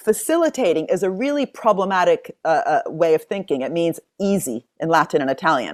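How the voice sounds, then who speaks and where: Very clean recording with a silent background. A woman speaks in an animated tone at a medium pitch, with very wide pitch swings. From US (Princeton, New Jersey), born in Italy. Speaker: economics professor. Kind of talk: interview conversation.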